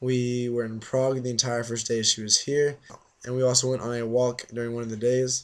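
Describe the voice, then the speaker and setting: A man talks with an American accent. His monotone, flat intonation moves at a fairly quick pace. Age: 20s. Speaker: exchange student vlogger. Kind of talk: casual vlog.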